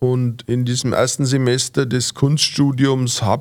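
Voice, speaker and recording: A man talks at a fairly slow pace. His voice stays at a medium pitch. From Franconia, Fürth. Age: 50s. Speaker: cabaret artist. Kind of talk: interview. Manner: hesitant, many fillers.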